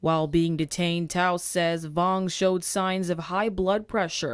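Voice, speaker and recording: This woman talks at a fairly slow pace with a fairly low pitch. She has an ordinary speaking voice. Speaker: TV news reporter. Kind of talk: TV news report.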